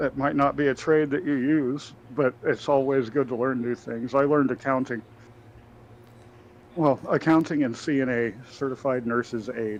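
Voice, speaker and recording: Fairly even intonation at a moderate pace. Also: man, medium pitch for a man. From US South, Alabama. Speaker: gaming streamer. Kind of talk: casual chat. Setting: live stream with voice chat.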